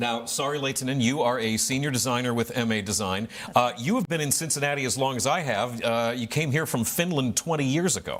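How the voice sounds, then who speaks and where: A man's ordinary speaking voice, medium-pitched, with ordinary pitch variation, a fairly quick pace and hardly any pauses. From northeast Ohio. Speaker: talk show host. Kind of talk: interview.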